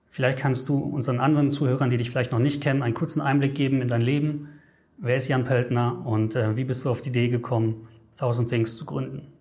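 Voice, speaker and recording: A man with a medium pitch rattles along at a very fast pace in a monotone, flat intonation, with audible room echo. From Germany. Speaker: travel editor. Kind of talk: interview. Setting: studio.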